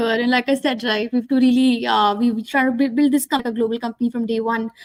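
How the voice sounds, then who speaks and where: A woman talks at a very fast pace. Her voice is high-pitched. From northern India. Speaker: tech startup founder. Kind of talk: interview. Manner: halting, many fillers.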